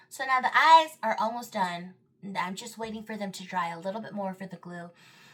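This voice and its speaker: Noticeable background noise sits behind this woman. She speaks at a fairly high pitch and a moderate pace. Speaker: makeup artist. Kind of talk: tutorial. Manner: casual, filler-heavy.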